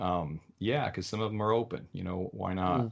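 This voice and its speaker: A man speaks against a quiet background. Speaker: author and web developer. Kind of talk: interview. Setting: video call.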